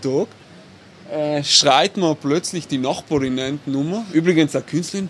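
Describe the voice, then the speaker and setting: Speaking at a moderate pace, a man with a fairly high pitch and lively intonation has an unremarkable speaking voice. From South Tyrol, Italy (Bolzano). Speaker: architect and urban planner. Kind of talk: casual interview.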